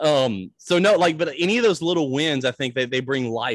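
A man speaks with a Mississippi accent. The background is quiet, and the sound is dry and close with no echo. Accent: Southern US (Mississippi). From US South, Natchez, Mississippi. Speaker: pastor. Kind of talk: casual interview.

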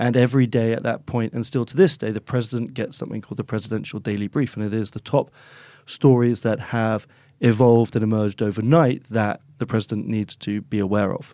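A man of medium pitch with an English accent, at a fairly quick pace and with fairly even intonation. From England, Oxford. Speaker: chief executive of a consulting firm. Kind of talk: business discussion.

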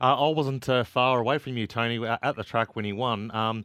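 A man with an Australian accent, medium pitch, ordinary pitch variation, and a fairly quick pace. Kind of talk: casual chat. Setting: studio.

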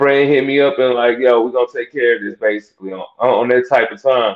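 At a moderate pace, a man speaks at medium pitch in a plain, everyday voice. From Texas. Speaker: church music director. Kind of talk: casual interview.

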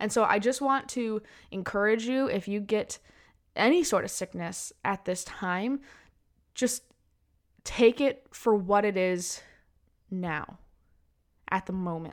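The delivery is very slow, with long, frequent pauses. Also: woman, medium pitch for a woman, ordinary pitch variation. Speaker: podcast host for mothers. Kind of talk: solo podcast monologue. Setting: at home during quarantine.

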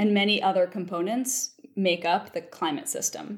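A woman with an American accent has an unremarkable speaking voice, and her pitch varies an ordinary amount. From US Mid-Atlantic (Baltimore, Maryland). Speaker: paleoclimatologist. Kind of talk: interview.

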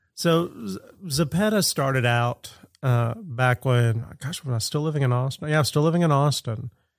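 In an American accent, a man uses a plain, everyday voice with lively intonation at a moderate pace, on a very clean recording with a silent background. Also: fairly high pitch for a man. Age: 50s. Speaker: street artist and art teacher. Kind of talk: casual chat.

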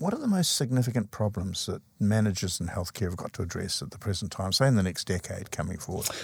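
On a very clean recording with a silent background, a man talks at a very fast pace in a somewhat breathy voice with a fairly low pitch. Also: ordinary pitch variation. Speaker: interviewer host. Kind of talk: formal interview.

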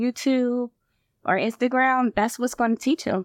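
Against a quiet background, with a dry, close sound and no echo, someone speaks at a moderate pace in an ordinary speaking voice with an American accent. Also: woman. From Michigan. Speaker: nurse practitioner and nursing professor. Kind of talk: interview.

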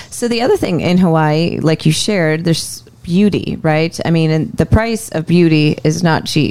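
In an ordinary speaking voice, a woman with a fairly low pitch and ordinary pitch variation talks at a moderate pace with hardly any pauses. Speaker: mortgage lender, co-host. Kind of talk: casual podcast conversation.

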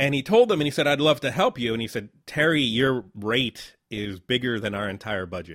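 In an American accent, a man talks with an unremarkable speaking voice at a medium pitch. His pace is moderate, his intonation lively, and he hardly pauses at all. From Southern Connecticut, New Haven. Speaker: podcast host, filmmaker. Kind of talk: casual interview.

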